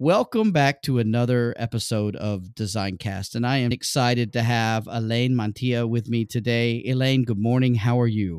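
A man with a normal speaking voice talks at a moderate pace and medium pitch, with hardly any pauses. His intonation is fairly even, his loudness very even, and the recording very clean with a silent background. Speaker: podcast host and design educator. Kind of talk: casual interview.

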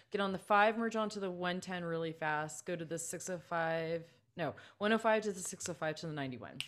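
Someone speaks in a Californian accent at a fairly quick pace. Their pitch variation is ordinary. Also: woman. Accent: Californian American English. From Southern California, Los Angeles County. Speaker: composer and music teacher. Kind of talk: casual interview chat.

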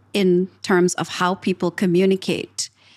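A woman with an ordinary speaking voice talks at medium pitch and a fairly slow pace, in a dry, close sound with no echo on a very clean recording with a silent background. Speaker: podcast host and leadership communications coach. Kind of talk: podcast interview.

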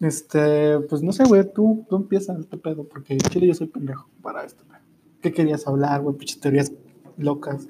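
This man's voice has a dark, mellow tone. His loudness swings widely. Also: fairly high pitch for a man, ordinary pitch variation, moderate pace. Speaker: podcast host and streamer. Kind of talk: casual chat. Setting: live stream.

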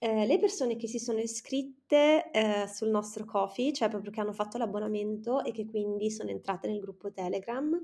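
Her tone dark and mellow, a woman speaks at a moderate pace with a fairly high pitch and ordinary pitch variation. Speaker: podcast co-host. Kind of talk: casual chat.

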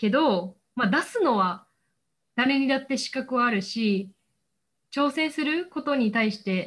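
Her voice high, a woman talks at a fairly slow pace with lively intonation and long, frequent pauses. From Osaka, Japan. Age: 20s. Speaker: recent university graduate. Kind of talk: interview.

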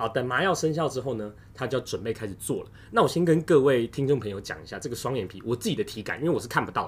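On a very clean recording with a silent background, a man with a medium pitch speaks at a very fast pace. His voice is somewhat breathy, with lively intonation and big swings in loudness. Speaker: podcast host. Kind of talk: casual chat. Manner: animated.

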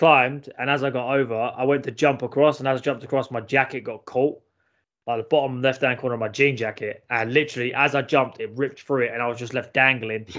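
Speaking very fast in a London accent, a man keeps a medium pitch and a monotone, flat intonation. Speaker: podcast co-host. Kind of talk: casual banter. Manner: crude, jokey.

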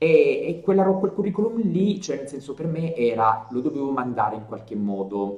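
A man with a fairly high pitch speaks at a moderate pace, his pitch swinging very widely. His loudness rises and falls sharply against noticeable background noise. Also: hardly any pauses. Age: 30s. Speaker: journalist and video storyteller. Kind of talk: casual interview.

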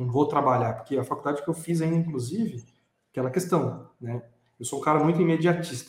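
The voice is somewhat breathy, with a fairly quick pace and ordinary pitch variation. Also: man, fairly high pitch for a man. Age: 20s. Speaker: podcast host. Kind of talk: casual chat.

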